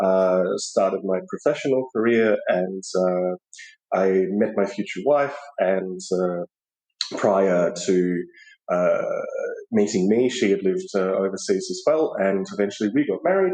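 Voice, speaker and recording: This man speaks with an Australian accent at a fairly slow pace. His speech is broken by long, frequent pauses. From Australia, Melbourne. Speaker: podcast guest, expat. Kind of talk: interview conversation.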